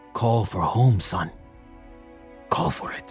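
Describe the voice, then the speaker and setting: Clear music plays in the background. A man speaks at a medium pitch in a put-on character voice. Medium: actual play. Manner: calm, paternal.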